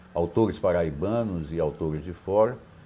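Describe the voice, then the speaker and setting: Ordinary pitch variation in a man's dark, mellow tone. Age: 70s. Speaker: poet and academic. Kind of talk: interview.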